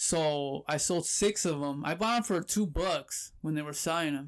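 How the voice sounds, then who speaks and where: With an American accent and a normal speaking voice, a man speaks at a moderate pace and a fairly high pitch, with ordinary pitch variation, on a very clean recording with a silent background. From Southern California, Pomona. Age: 30s. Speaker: online reseller. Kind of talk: casual chat.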